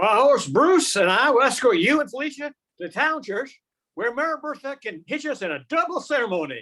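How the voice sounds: In a put-on character voice, a man speaks with extremely high pitch, big pitch swings and a bright, sharp tone. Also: moderate pace.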